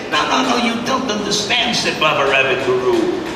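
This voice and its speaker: A man at a moderate pace, very wide pitch swings, noticeable background noise. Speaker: master storyteller. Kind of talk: storytelling narration with character dialogue. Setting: live festival stage with musical accompaniment.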